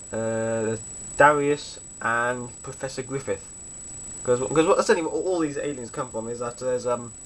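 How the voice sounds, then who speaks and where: Someone with a British accent talks at a moderate pace with ordinary pitch variation. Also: man, medium pitch for a man. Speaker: fan video reviewer. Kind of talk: casual DVD review monologue. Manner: stutters a little, halting.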